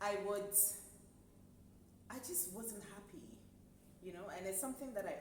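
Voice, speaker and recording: Recorded with audible room echo and noticeable background noise, a woman speaks at a medium pitch. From Scotland. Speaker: entrepreneur, events company co-founder. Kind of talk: casual interview.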